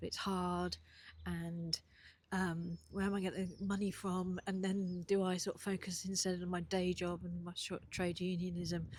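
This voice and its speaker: Somewhat breathy and fairly low-pitched, a woman speaks at a moderate pace in a flat, monotone way. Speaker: aspiring entrepreneur and vlogger. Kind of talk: casual video diary. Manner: hesitant, many fillers. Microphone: new mic.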